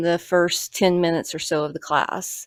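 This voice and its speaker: A woman talks at a moderate pace in a fairly low pitch. The recording is very clean with a silent background and a dry, close sound with no echo. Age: 50s. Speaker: YouTuber, parkour practitioner. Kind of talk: personal vlog reflection. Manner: quiet, low-key; hesitant, some repetitions.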